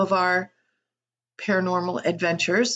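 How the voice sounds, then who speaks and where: This woman has an American accent and a medium pitch. She talks at a fairly slow pace. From US South, Appalachia. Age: 60s. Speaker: channel host, psychic and tarot reader. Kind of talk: casual introductory vlog monologue. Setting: home office.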